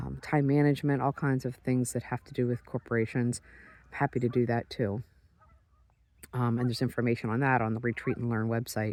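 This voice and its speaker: A man with a medium pitch speaks in a relaxed tone at a fairly quick pace. His intonation is monotone and flat, and the sound is dry and close with no echo. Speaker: public speaker and sheep breeder. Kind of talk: casual vlog monologue. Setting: outdoors on a beach at sunrise. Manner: fast; relaxed, with pauses. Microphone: handheld phone recording.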